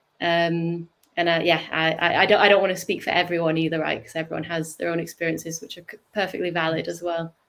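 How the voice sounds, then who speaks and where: A woman with a northern English accent talks at a very fast pace with hardly any pauses, her fairly low voice monotone and flat while her loudness swings widely. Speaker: startup co-founder. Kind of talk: interview. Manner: halting.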